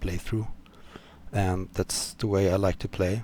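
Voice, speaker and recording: At a fairly slow pace, a man talks in a very deep, low pitch with monotone, flat intonation and a somewhat breathy sound. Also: very clean recording, silent background. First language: not English. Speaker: gaming YouTuber. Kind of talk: casual commentary. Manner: hesitant, many fillers.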